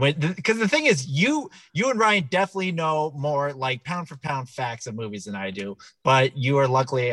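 Here is a man with an ordinary speaking voice and a medium pitch. He talks at a moderate pace. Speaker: podcast host. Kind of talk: casual comedy podcast banter.

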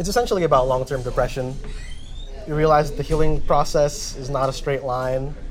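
A man with an American accent and a fairly high pitch speaks at a fairly quick pace with ordinary pitch variation, amid audible room echo and noticeable background noise. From Jersey City, New Jersey. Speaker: musician. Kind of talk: interview. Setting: cafe.

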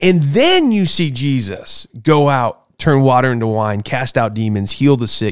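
This man has an ordinary speaking voice at medium pitch with lively intonation. He speaks at a fairly slow pace with hardly any pauses. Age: 30s. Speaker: podcast host. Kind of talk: casual chat. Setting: studio.

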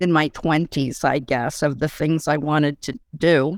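A woman's plain, everyday voice at a fairly low pitch. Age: 60s. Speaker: architectural historian. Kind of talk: casual chat.

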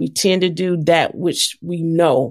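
The woman has an unremarkable speaking voice, fairly low in pitch. She talks at a fairly slow pace. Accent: American. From US South, Atlanta, Georgia. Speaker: nonprofit founder and former journalist. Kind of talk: interview.

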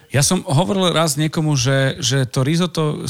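The recording has a dry, close sound with no echo and a plain, everyday voice. The pace is moderate, with ordinary pitch variation. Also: man. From eastern Slovakia. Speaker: podcast host. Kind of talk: casual interview.

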